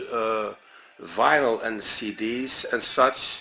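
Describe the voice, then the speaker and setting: Against noticeable background noise, a man with a Dutch accent speaks with fairly even intonation. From Netherlands. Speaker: music reviewer. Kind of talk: unscripted video review. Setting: talking to camera at home. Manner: halting, many fillers.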